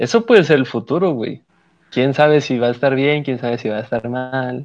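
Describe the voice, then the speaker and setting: A man with a plain, everyday voice and ordinary pitch variation speaks in a quiet background. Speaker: podcast co-host. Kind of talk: casual chat.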